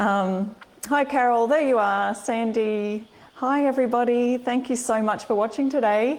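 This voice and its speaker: A woman with an Australian accent, fairly high in pitch, with very even loudness. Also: moderate pace. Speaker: furniture upcycling and craft blogger. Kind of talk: live-stream craft tutorial. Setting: live stream. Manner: chatty, upbeat.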